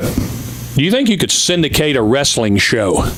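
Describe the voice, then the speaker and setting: The speaker is a man. Background noise is noticeable throughout. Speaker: auctioneer and former wrestling TV syndicator. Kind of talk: radio talk show guest interview answer. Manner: conversational storytelling.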